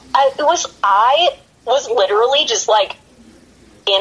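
Woman with an American accent over noticeable background noise. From western Pennsylvania, Pittsburgh area. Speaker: professional wrestler. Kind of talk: casual interview.

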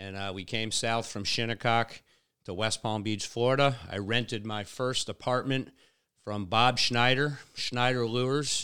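A man's normal speaking voice with an American accent, medium pitch and fairly even intonation, at a fairly slow pace on a very clean recording with a silent background. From Long Island, New York. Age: 50s. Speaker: fishing mate and tournament director. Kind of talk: casual interview. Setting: in person.

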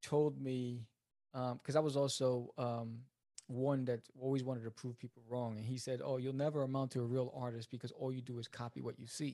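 A man with a New York accent, medium in pitch, with a dark, mellow tone, a flat, monotone delivery and a moderate pace. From New York City (Queens). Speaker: writer and comic book creator. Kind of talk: interview.

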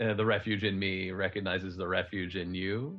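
A man's gruff put-on character voice, very deep and low in pitch. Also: moderate pace. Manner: strange, solemn.

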